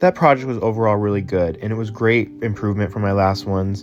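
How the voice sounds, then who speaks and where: A man's voice over noticeable background noise. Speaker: hobbyist animator and video creator. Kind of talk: casual retrospective commentary. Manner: casual, filler-heavy.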